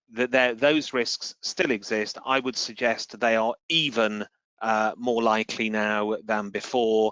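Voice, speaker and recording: A man's ordinary speaking voice at medium pitch, with a fairly slow pace, very even loudness and fairly even intonation. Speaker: crisis communication consultant. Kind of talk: webinar interview. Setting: online webinar.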